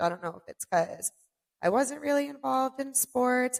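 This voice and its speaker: This woman's voice swings very widely in pitch. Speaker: podcast host. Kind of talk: solo podcast monologue. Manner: loud at times; casual, filler-heavy.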